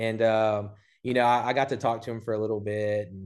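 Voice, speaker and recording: In a plain, everyday voice, a man with an American accent speaks at a moderate pace and a medium pitch. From Southeast Texas (Port Neches, near Beaumont). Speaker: barbecue restaurant owner. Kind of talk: casual interview.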